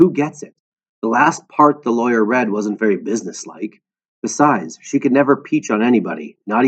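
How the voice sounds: Against a quiet background, a natural reading voice comes through with ordinary pitch variation.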